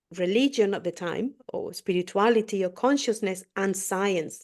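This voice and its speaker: With a non-native accent, a woman at medium pitch speaks at a fairly slow pace with ordinary pitch variation against a quiet background. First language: not English. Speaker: spiritual podcast co-host. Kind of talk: interview. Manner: halting.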